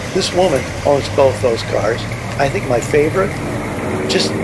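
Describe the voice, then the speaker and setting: A man's voice over loud background noise. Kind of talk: casual vlog commentary. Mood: enthusiastic, admiring. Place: street. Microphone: phone near.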